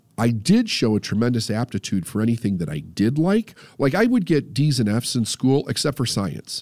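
Medium in pitch but with very wide pitch swings, a man speaks at a moderate pace in a dry, close sound with no echo. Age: 50s. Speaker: podcast host, mindset coach. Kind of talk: casual chat.

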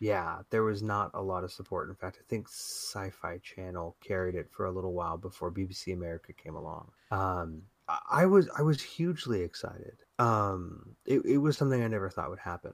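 Here is an ordinary speaking voice from a man at a fairly low pitch. He talks at a fairly quick pace with ordinary pitch variation. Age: 40s. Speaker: podcast co-host. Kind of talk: casual chat.

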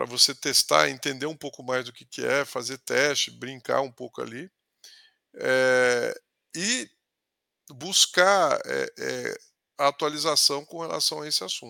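The sound is dry and close with no echo. A man talks at a fairly slow pace with long, frequent pauses and big swings in loudness. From interior of São Paulo state, Brazil (Ribeirão Preto region). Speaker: sales executive. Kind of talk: casual interview conversation. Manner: halting, with frequent word repetitions.

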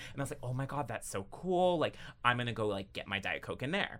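Delivered at a very fast pace in a bright, sharp tone, the voice sits on a very clean recording with a silent background. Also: man. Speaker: strategist and activist. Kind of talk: casual chat. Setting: studio. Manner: animated, expressive.

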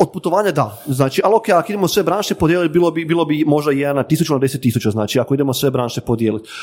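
A man talks at a very fast pace with hardly any pauses. His fairly high voice has lively intonation and very even loudness. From northern Croatia, Ivanec/Varaždin area. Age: 30s. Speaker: travel photographer and influencer. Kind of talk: casual interview chat.

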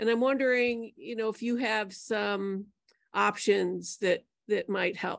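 Over a quiet background, a woman with an ordinary speaking voice talks at a fairly slow pace and fairly high pitch, with ordinary pitch variation. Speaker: caller. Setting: video call.

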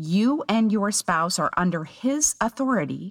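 A woman at a very slow pace with very wide pitch swings, in a dry, close sound with no echo on a very clean recording over a silent background. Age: 50s. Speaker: podcast host, psychologist and homeschooling mother. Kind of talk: solo podcast monologue.

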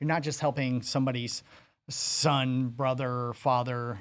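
A man with an American accent at medium pitch and moderate pace, in monotone, flat intonation, on a very clean recording with a silent background. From Arizona (Phoenix, Maryvale). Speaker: recovered addict turned entrepreneur. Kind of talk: interview.

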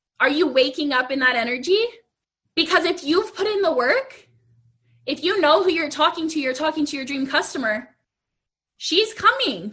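A woman uses a raised, projected voice that is high-pitched with a bright, sharp tone. Her intonation is lively and her pace is moderate. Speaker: business coach for artists. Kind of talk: live Q&A / coaching chat. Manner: casual, conversational.

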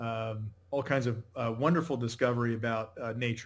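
An ordinary speaking voice with an American accent moves at a moderate pace. Its intonation is fairly even. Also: man. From New England, Connecticut. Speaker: company founder and CEO. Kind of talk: interview.

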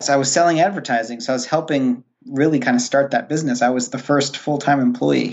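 A man talks at a very fast pace with hardly any pauses. His pitch is medium and its variation ordinary. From Rhode Island. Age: 30s. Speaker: cleaning business founder. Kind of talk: interview.

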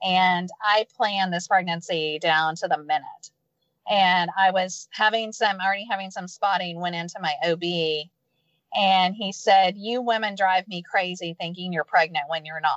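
A woman talks in an ordinary speaking voice with an American accent. Her pitch is medium, her intonation fairly even, and her pace moderate. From Texas, Houston. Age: 50s. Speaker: entrepreneur and former speech pathologist. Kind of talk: interview. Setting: in a parked car, remote call.

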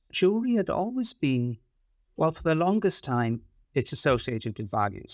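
This recording is very clean, with a silent background. A man speaks in a Welsh accent. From Wales. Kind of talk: casual chat.

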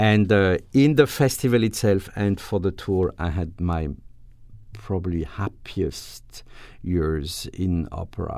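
Very deep and low, a man's voice with a French accent has a dark, mellow tone at a fairly slow pace. The recording is very clean with a silent background. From France, Alsace. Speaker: orchestra conductor. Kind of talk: interview. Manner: halting.

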